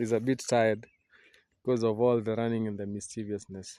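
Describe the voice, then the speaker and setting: A man at medium pitch speaks with a Kenyan accent. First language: Kikuyu. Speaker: vlogger and coffee farmer. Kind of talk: casual vlog tour. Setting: outdoors on a coffee farm. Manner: halting, many fillers.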